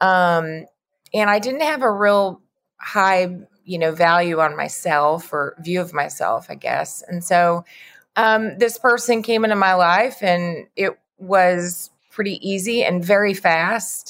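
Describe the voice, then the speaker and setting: Speaking very slowly with a Texan accent, a woman shows ordinary pitch variation. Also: medium pitch for a woman. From West Texas, near Lubbock. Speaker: sales trainer. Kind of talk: interview.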